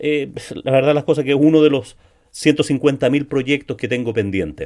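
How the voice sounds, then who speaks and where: Vocal fry runs through a dark, mellow tone. The pace is fairly slow. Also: man. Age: 60s. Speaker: sales podcast host. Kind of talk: solo podcast monologue. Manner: frequent word repetitions and fillers.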